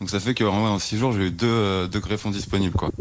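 This man's voice is fairly low in pitch, with fairly even intonation. He talks at a moderate pace. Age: 20s. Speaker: heart transplant patient. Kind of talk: testimony. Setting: hospital bed. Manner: hesitant.

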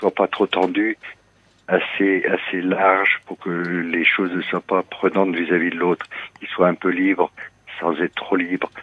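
A man speaks at a fairly slow pace with a very deep, low pitch. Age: 60s. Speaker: radio caller. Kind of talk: personal confession on call-in radio. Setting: phone call. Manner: halting, hesitant.

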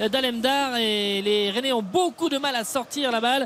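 The voice is raised and projected. Noticeable background noise can be heard. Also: man. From Brittany, France. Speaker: football match reporter. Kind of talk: live commentary.

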